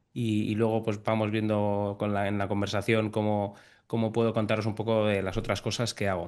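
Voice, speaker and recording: Against a quiet background, a man with a fairly low pitch talks at a moderate pace, his loudness very even and his intonation flat and monotone. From Spain, Navarre (Pamplona). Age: 30s. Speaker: airline captain. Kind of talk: interview podcast.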